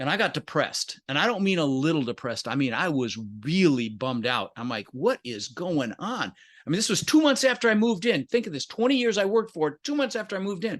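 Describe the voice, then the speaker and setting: Against a quiet background, the voice moves very fast with very wide pitch swings. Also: man, high pitch for a man. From Netherlands, emigrated at six. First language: Dutch. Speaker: entrepreneur and real estate investor. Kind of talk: interview, storytelling. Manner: animated.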